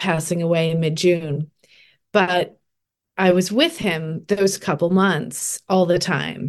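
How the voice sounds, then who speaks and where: This woman has a plain, everyday voice pitched fairly low. She talks at a fairly slow pace with fairly even intonation. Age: 40s. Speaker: life coach and retreat leader. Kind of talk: casual chat.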